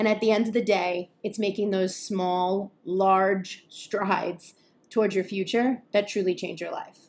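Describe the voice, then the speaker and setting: At a fairly slow pace, a woman speaks with a medium pitch and flat, monotone intonation. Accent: American. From New York area. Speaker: podcast host, journalist and content creator. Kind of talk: scripted-style solo podcast intro.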